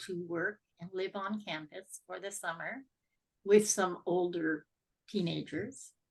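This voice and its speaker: A woman with an unremarkable speaking voice talks at a fairly slow pace and medium pitch, her intonation fairly even but with big swings in loudness. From Canada (Ontario). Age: 60s. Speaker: podcast guest sharing life story. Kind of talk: interview testimony.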